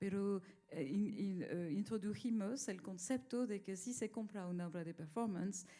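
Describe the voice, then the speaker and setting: Her tone is dark and mellow, and she has a non-native accent. The woman speaks at a moderate pace. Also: medium pitch for a woman, ordinary pitch variation. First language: not Spanish (speaking Spanish). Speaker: art collector. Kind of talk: panel discussion. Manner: halting.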